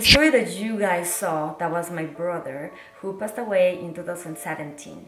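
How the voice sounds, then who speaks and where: With a Spanish accent, a woman speaks at a fairly quick pace in a very deep, low pitch with fairly even intonation, against audible room echo and noticeable background noise. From Mexico City. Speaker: vlogger. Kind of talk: personal vlog testimony. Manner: halting, many fillers.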